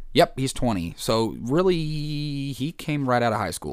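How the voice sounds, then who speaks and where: A man with a normal speaking voice talks fairly slowly at a medium pitch. The recording is very clean, with a silent background. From Kansas, US Midwest. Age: 20s. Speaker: podcast host. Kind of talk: casual solo chat.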